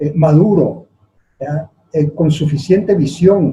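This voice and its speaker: The man has a fairly high pitch and a dark, mellow tone that is somewhat breathy. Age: 70s. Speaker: politician. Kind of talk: interview. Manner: hesitant, frequent fillers.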